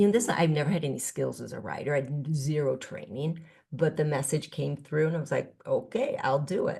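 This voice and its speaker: A woman's voice is very deep and low in pitch, with a dark, mellow tone. Somewhat breathy, she speaks at a fairly quick pace. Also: ordinary pitch variation. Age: 60s. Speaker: spiritual teacher and author. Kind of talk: podcast interview. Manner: reflective, with many fillers and restarts.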